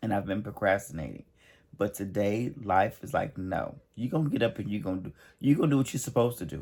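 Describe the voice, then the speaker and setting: A man's animated voice with vocal fry, lively intonation and a very fast pace. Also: very clean recording, silent background. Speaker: emotional healing coach. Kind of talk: motivational talk.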